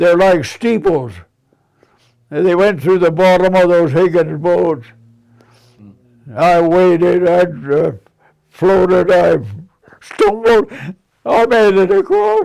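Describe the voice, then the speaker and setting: With an American accent, a man speaks very slowly in a high voice, his loudness very even, his pitch variation ordinary, and his pauses long and frequent. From Nebraska, US Midwest. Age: 80s+. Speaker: war veteran. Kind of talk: interview. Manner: halting.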